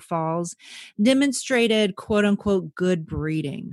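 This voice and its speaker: A woman with an American accent speaks at a medium pitch in an unremarkable speaking voice. Her intonation is lively, and the background is quiet. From Texas. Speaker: history podcast co-host. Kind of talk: casual chat; scripted narration.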